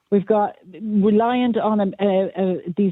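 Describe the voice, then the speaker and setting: In an Irish accent, a woman speaks at a medium pitch. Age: 60s. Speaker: caller. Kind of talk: radio phone-in opinion.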